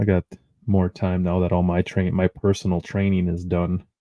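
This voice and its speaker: A man with a Midwestern accent speaks at a very deep, low pitch. His pace is moderate and his intonation monotone and flat. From US Midwest. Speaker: podcast co-host. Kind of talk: casual chat.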